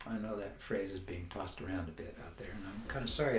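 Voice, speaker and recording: A man's fairly low, somewhat breathy voice at a very fast pace, with audible room echo. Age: 80s+. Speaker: life coach / wellness teacher. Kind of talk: motivational talk. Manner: halting.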